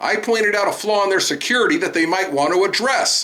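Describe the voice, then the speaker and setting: Over noticeable background noise, a man talks at a fairly quick pace in a high, raised, projected voice. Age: 60s. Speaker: citizen journalist, police auditor. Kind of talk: voiceover commentary.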